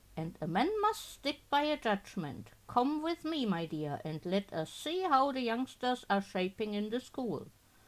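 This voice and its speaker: A woman's gruff, put-on character voice, fairly high in pitch with very wide pitch swings, at a moderate pace with hardly any pauses, on a very clean recording with a silent background. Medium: game stream. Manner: gruff, argumentative.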